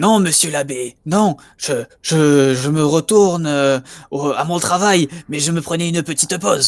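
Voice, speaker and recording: Using a put-on character voice, a man speaks raspily at a fairly high pitch, with ordinary pitch variation and a moderate pace. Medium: actual play. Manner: timid, shy.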